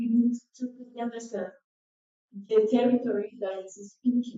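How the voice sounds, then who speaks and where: A woman with a non-native accent speaks at a moderate pace. Her intonation is flat and monotone. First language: not English. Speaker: artist working with Amazon communities. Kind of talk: symposium talk. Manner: halting.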